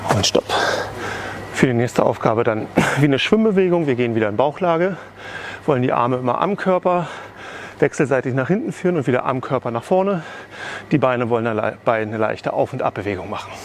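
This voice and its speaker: Over light background noise, a man talks at a very fast pace, and the sound is dry with no echo. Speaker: fitness trainer. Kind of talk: workout instruction. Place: hall.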